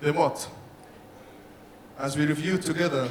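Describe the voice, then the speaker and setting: A man's fairly high voice, with noticeable background noise and audible room echo. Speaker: engineering presenter. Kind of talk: technical presentation. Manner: fast.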